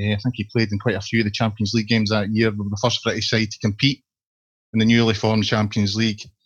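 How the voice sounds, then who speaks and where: A man with a Scottish accent, very fast, somewhat breathy, with monotone, flat intonation. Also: fairly low pitch for a man. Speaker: podcast host, football fan site. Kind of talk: casual football podcast discussion.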